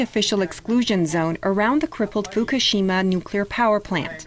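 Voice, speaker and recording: At a moderate pace, a woman with a plain, everyday voice speaks with lively intonation. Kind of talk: news reading. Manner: formal, steady, measured newsreader delivery.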